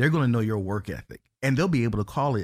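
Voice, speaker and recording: An unremarkable speaking voice from a man with an American accent, medium pitch, lively intonation and a fairly quick pace, on a very clean recording with a silent background. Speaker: educator and university advocate. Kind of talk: interview.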